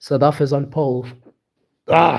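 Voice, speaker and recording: A man with a fairly high, somewhat breathy voice talks at a moderate pace in an animated tone. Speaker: sim racing league commentator. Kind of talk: live commentary.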